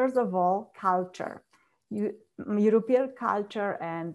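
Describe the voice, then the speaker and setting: A woman with a Polish accent speaks at a fairly slow pace. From Poland, small village. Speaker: transformational coach. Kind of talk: interview, personal story. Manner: laughs often.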